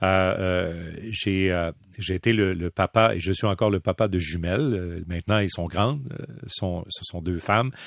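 Fairly slow and very deep, the man's voice shows ordinary pitch variation, with a dry, close sound with no echo and a quiet background. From Quebec City. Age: 50s. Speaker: hockey play-by-play commentator. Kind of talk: interview. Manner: animated.

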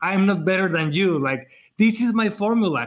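A man with a Spanish accent and an animated, energetic tone, at a fairly slow pace with ordinary pitch variation, on a very clean recording with a silent background. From Mexico. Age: 40s. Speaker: wedding photographer and educator. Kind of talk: casual chat.

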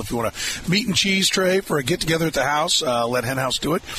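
An upbeat man with an American accent talks at a very fast pace with lively intonation. Noticeable background noise can be heard. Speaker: radio sports talk host. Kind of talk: live radio sports talk show with ad reads and caller chat. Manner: brisk, conversational, upbeat radio-host patter; punchy sales-pitch delivery on ads.

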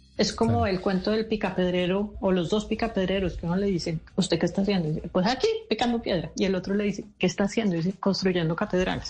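A woman speaks very fast at a medium pitch, her loudness very even. Her voice is somewhat breathy, with ordinary pitch variation. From Colombia. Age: 50s. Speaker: speaker on generational diversity and author. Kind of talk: radio interview.

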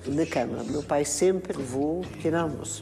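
A woman with a very deep, low pitch speaks through noticeable background noise and audible room echo. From Portugal. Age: 80s+. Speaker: actress. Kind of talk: interview.

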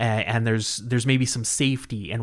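A man with a Canadian accent speaks in an ordinary speaking voice at a medium pitch, with fairly even intonation. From northern Manitoba, Canada. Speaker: movie enthusiast. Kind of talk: casual interview.

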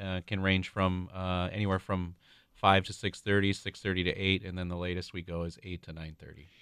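A man with an Upper Midwest accent, very deep and low in pitch, monotone and flat in intonation, with big swings in loudness and a fairly quick pace. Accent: Upper Midwest (Minnesota). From Minnesota, suburb of Saint Paul. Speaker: restaurant regional director and youth baseball parent. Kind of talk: radio interview. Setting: studio.

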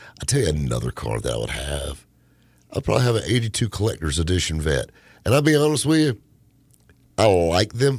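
In a fairly low, animated voice with vocal fry, a man talks fairly quickly with very wide pitch swings and long, frequent pauses. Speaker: radio host. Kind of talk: casual chat. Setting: studio. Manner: joking, animated.

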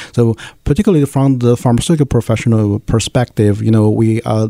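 A man's medium-pitched voice, dark and mellow in tone, with fairly even intonation and a very fast pace. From China, Nanjing. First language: Chinese. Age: 30s. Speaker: pharmaceutical scientist and association leader. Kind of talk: interview.

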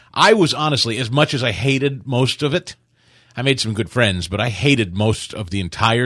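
A man talks at a fairly quick pace in a plain, everyday voice, medium in pitch with ordinary pitch variation. The background is quiet. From US Midwest, Kansas City. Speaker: radio talk show host. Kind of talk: casual chat.

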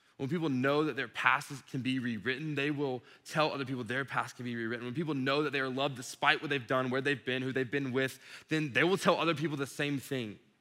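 Animated and very fast, a man speaks at a medium pitch. He has an American accent. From Georgia (Dublin), US South. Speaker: youth ministry director. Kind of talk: sermon. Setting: stage with audience.

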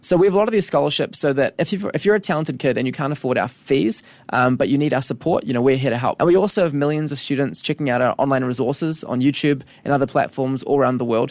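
Speaking very fast with a New Zealand accent, a man uses a fairly high pitch and ordinary pitch variation. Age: 20s. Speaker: education company co-founder. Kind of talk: interview. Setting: radio studio.

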